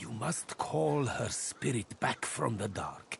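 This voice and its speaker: A man uses a put-on character voice with very wide pitch swings. He speaks at a very slow pace. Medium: video game. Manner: measured, solemn.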